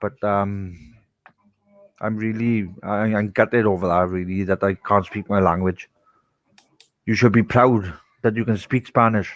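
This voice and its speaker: The speech goes at a fairly slow pace, broken by long, frequent pauses. Intonation stays fairly even, and the sound is dry and close with no echo. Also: man, fairly low pitch for a man. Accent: strong Welsh. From Wales. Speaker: podcast co-host. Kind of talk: casual chat.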